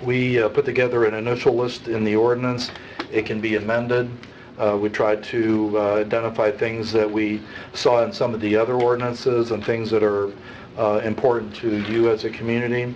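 Over light background noise, a man talks at a moderate pace and a medium pitch in a monotone, flat intonation. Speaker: town staff official; council presenter. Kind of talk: staff presentation. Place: hall. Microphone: podium.

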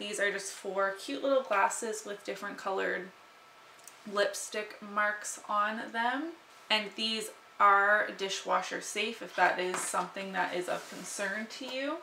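A woman at a fairly slow pace with ordinary pitch variation, audible room echo and light background noise. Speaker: lifestyle vlogger. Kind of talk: casual vlog chat. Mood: cheerful, playful. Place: home room.

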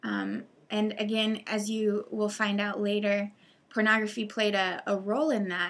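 The intonation is monotone and flat. It belongs to a woman. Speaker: presenter. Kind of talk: commentary over news articles. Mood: serious, concerned. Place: home room. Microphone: webcam.

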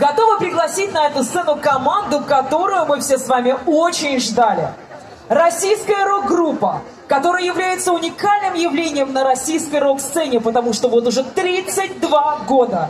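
Lively intonation over crowd noise in the background. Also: woman, high pitch for a woman, moderate pace. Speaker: stage host. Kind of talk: stage announcement. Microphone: pa.

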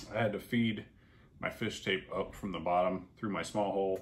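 A man at low pitch, fairly even in intonation, at a moderate pace

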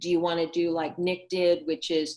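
A woman speaks with a fairly low pitch at a fairly slow pace, in a plain, everyday voice. The background is quiet. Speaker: presenter. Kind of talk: tutorial. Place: home room. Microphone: video call.

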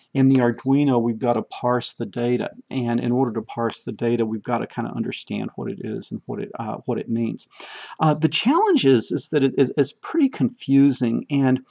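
A man speaks at a moderate pace, and the background stays quiet. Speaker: presenter. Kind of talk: tutorial. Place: home room. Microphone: webcam.

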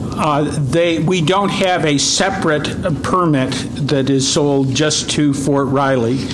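Noticeable background noise sits behind a man with a fairly high pitch. He talks at a very slow pace with fairly even intonation. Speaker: wildlife agency staff presenting regulations. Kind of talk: public meeting presentation. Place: meeting room. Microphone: podium.

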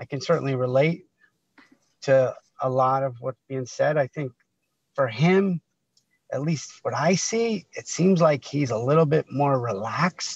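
The voice is somewhat breathy, with an American accent and ordinary pitch variation. The sound is dry with no echo, over a quiet background. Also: man. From Connecticut, US. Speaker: guest. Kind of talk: casual chat. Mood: warm, anecdotal storytelling. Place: car. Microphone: video call.

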